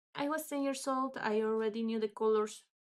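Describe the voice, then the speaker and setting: In a very clean recording with a silent background, a woman speaks at a fairly high pitch with a Spanish accent. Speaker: English teacher. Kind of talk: casual storytelling vlog. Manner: halting, unscripted with fillers.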